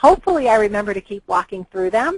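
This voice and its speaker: With an American accent, a woman speaks in an ordinary speaking voice with fairly high pitch and lively intonation. The sound is dry and close, with no echo. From Massachusetts. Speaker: tapping coach. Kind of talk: workshop teaching on a call. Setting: group call.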